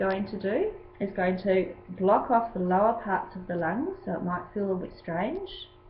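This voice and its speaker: A woman talks at a medium pitch with ordinary pitch variation. Noticeable background noise and audible room echo surround her voice. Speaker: yoga teacher. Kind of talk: tutorial.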